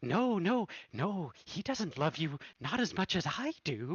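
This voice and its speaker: A man's put-on character voice, high in pitch with very wide pitch swings, at a fairly slow pace. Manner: possessive, jealous, sinister.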